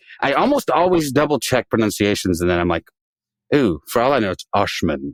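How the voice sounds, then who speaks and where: A man with vocal fry talks at a fairly quick pace, his pitch swinging very widely. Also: medium pitch for a man. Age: 50s. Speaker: podcast host. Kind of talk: reading aloud; casual chat. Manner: animated.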